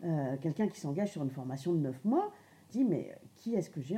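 A woman speaks at a fairly quick pace in a fairly low pitch with very wide pitch swings. Her tone is dark and mellow, and somewhat breathy. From Lorraine, France. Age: 50s. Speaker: adult education trainer. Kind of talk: interview. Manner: hesitant, many fillers.

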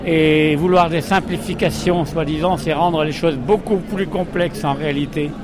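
A man with a high pitch and fairly even intonation speaks at a fairly slow pace over noticeable background noise. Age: old. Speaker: retired sailor, protester. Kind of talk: street interview. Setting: outdoors at a street demonstration. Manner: formal.

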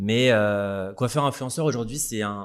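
A man with a normal speaking voice and a fairly low pitch talks at a fairly slow pace with ordinary pitch variation, recorded very cleanly over a silent background. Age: 30s. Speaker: hairdresser and influencer. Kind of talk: casual interview.

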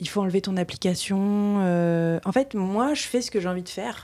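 On a very clean recording with a silent background, a woman speaks fairly slowly in a dark, mellow tone with fairly even intonation. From France, Reims. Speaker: storyteller and creative. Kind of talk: casual interview conversation.

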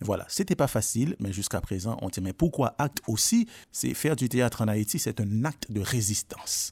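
Very clean recording with a silent background, a man at medium pitch, somewhat breathy, lively intonation, moderate pace, dry and close with no echo. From Haiti. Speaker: drama school director. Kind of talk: interview.

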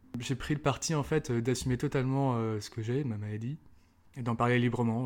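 A man's voice at medium pitch. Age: 20s. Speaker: person sharing lived experience of bipolar disorder. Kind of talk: testimony.

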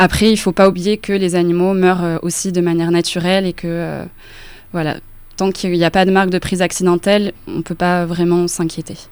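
Speaking at a fairly quick pace, a woman with a fairly low pitch keeps to a monotone, flat intonation. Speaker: journalist. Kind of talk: radio interview.

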